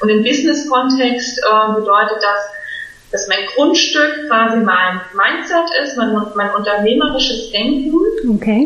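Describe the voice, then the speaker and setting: Amid noticeable background noise and audible room echo, a woman speaks at a fairly slow pace and fairly high pitch with ordinary pitch variation. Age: 30s. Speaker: business coach. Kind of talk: casual chat.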